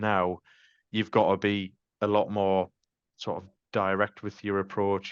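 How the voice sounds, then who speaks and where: Recorded dry and close with no echo against a quiet background, a man with a Sunderland accent speaks at a fairly low pitch. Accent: Mackem (Sunderland). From North East England (Sunderland). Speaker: van fleet sales manager. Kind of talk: podcast interview. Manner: casual, many fillers.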